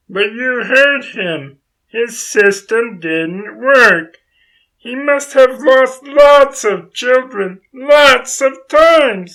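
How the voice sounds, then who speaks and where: A put-on character voice with fairly high pitch moves at a very slow pace. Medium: audio drama. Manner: eager, questioning.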